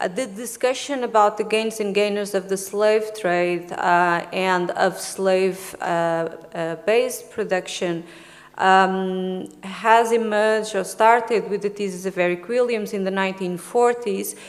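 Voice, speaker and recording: A woman with a Portuguese accent talks fairly slowly at a medium pitch, her intonation fairly even, with audible room echo. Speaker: historian, conference speaker. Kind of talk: academic conference presentation. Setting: conference room with audience. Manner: hesitant, with many fillers.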